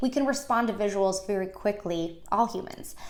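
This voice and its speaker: A woman speaks with lively intonation. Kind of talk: tutorial. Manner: fast.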